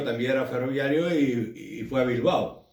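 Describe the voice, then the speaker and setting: There is audible room echo as a man speaks at medium pitch and a fairly slow pace with fairly even intonation. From Andalusia, Huelva province (Gibraleón). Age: 60s. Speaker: trade union activist. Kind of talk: oral history interview. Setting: at his home. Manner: halting.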